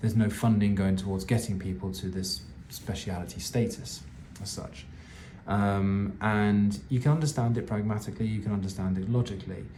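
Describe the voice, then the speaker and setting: With a British accent, a somewhat breathy, dark and mellow voice moves at a fairly quick pace with ordinary pitch variation amid audible room echo. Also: man, fairly low pitch for a man. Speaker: vlogger sharing family cancer updates. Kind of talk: personal video update. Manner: earnest, passionate; halting, checking notes.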